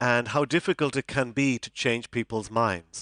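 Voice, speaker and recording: A man talks with an Irish accent. The sound is dry and close with no echo, against a quiet background. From Ireland. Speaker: psychology professor. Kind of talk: conference lecture. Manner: hesitant, many fillers and repeats.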